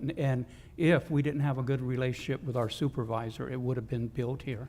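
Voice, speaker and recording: Somewhat breathy and dark, mellow in tone, a man's medium-pitched voice moves at a fairly quick pace with monotone, flat intonation. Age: 60s. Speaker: city council member. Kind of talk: public meeting debate. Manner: repetitive, halting.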